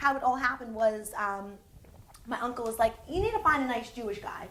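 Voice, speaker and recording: With audible room echo, a woman in an American accent speaks fairly quickly at a fairly high pitch, animated in tone, with ordinary pitch variation. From New Jersey, US. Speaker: TV host and entertainment reporter. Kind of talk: interview.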